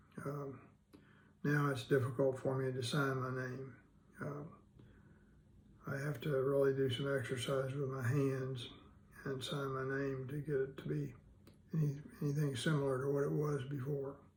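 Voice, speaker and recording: A man speaks at a moderate pace and medium pitch, somewhat breathy and monotone with flat intonation, leaving long, frequent pauses in audible room echo. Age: 70s. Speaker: vlogger with Parkinson's disease. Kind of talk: personal video diary. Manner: hesitant, many fillers.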